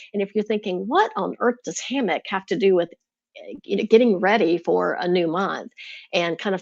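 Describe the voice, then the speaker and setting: A woman speaks at a medium pitch with ordinary pitch variation, in a dry, close sound with no echo and a quiet background. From US South. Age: 50s. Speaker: lifestyle YouTuber, retired teacher. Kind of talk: casual livestream talk. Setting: live stream.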